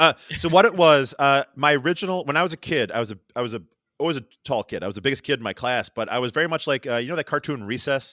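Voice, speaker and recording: A man with a Rochester accent speaks at a very fast pace in a fairly high voice with a bright, sharp tone, recorded very cleanly with a silent background and a dry, close sound with no echo. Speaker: artist and podcaster. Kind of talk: casual chat. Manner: animated, stumbling.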